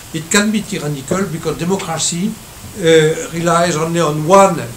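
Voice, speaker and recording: Audible room echo and noticeable background noise both come through in this clip. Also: man. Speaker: economics professor. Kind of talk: lecture. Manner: halting.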